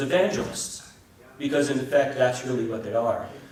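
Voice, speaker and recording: Someone with a New Jersey accent speaks with fairly even intonation. Audible room echo and noticeable background noise fill the recording. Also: man. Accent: New Jersey American English. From US Northeast, New Jersey. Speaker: Orthodox priest. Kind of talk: conference talk. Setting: conference hall with audience. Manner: loud.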